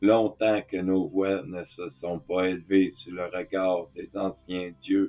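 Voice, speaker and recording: Very deep and low, a man's voice moves at a very slow pace. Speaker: spiritual teacher. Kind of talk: tutorial. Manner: calm.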